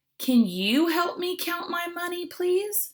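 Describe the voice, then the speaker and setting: Using a squeaky, put-on character voice, a woman speaks in an extremely high pitch at a fairly slow pace. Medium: read story. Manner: polite, mild.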